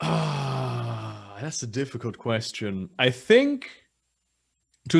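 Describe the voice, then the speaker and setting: Here a man is talking. He has a British accent. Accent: sounds British in English. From Germany. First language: German. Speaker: guest. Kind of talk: casual chat.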